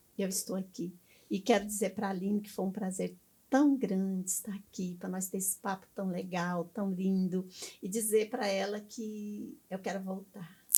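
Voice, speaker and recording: A woman speaks at a moderate pace in a medium-pitched, dark, mellow, somewhat breathy voice. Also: fairly even intonation. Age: 70s. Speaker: missionary pastor. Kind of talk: interview.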